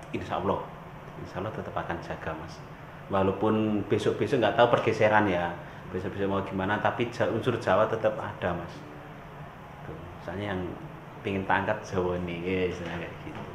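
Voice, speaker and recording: A man with a fairly low pitch speaks at a fairly quick pace in a strong Javanese accent, with fairly even intonation and big swings in loudness. Audible room echo and noticeable background noise surround him. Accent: strong Javanese (medok) in Indonesian. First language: Javanese (speaking Indonesian). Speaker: reggae musician. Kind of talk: interview. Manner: casual.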